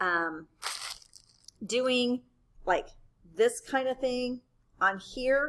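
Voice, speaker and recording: The speech moves at a very slow pace. Its intonation is lively. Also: woman. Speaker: math teacher. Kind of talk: tutorial. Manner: casual, conversational.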